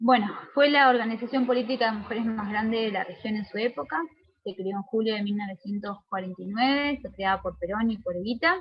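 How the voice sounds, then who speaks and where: Her pitch is fairly high, with ordinary pitch variation. The woman talks at a fairly quick pace. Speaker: lecturer. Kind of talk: lecture. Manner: fast; hesitant, with fillers.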